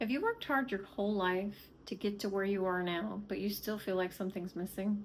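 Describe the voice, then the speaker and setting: At a fairly quick pace, a woman speaks in a normal speaking voice with medium pitch, fairly even intonation and very even loudness. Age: 60s. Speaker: vlogger planning retirement travel. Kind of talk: personal vlog monologue.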